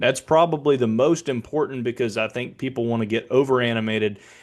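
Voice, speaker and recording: A normal speaking voice with an American accent, ordinary pitch variation, and a fairly quick pace. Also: man, hardly any pauses. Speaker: public address announcer. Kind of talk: casual explanation to camera.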